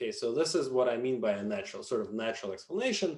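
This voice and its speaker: A man with a non-native accent, medium in pitch, at a very fast pace with very wide pitch swings. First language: not English. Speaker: linguistics professor. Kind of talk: lecture. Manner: hesitant, with many fillers.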